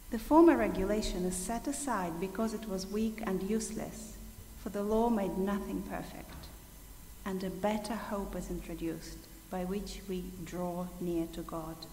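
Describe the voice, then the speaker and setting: A woman talks at a moderate pace and a medium pitch. Music plays in the background, and the room echo is audible. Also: ordinary pitch variation. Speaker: scripture reader. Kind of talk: reading aloud. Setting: church.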